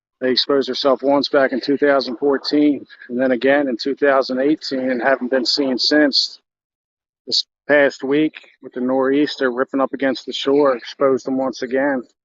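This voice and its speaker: A quiet male voice at medium pitch with monotone, flat intonation. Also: moderate pace. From New Jersey. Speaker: live streamer, local explorer. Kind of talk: casual live stream walk-and-talk. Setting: outdoors on a beach, phone live stream. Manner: quieter to avoid crowd.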